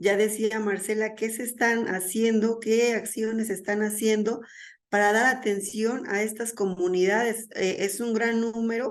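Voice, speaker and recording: Speaking fairly slowly in a central Mexican accent, a woman keeps a fairly high pitch and a monotone, flat intonation, with audible room echo around her. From Mexico. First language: Mazahua (speaking Spanish). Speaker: conference speaker. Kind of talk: lecture.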